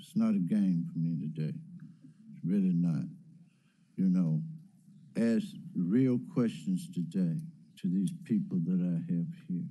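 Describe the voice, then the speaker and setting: In a room with audible echo, a man talks at a fairly slow pace with long, frequent pauses. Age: 60s. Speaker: city council member chairing meeting. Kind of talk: council meeting address. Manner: animated, emphatic.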